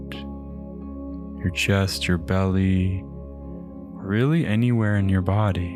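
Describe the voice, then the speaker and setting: A man speaks very slowly in a very deep, low voice with ordinary pitch variation and hardly any pauses. His tone is calm, his loudness very even, and music plays in the background. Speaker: meditation guide. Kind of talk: guided meditation. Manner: slow, calm.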